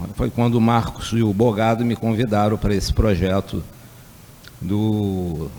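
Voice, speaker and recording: Here a man speaks at a medium pitch and a moderate pace, with ordinary pitch variation. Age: 60s. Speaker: energy researcher. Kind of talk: lecture. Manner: hesitant, with fillers.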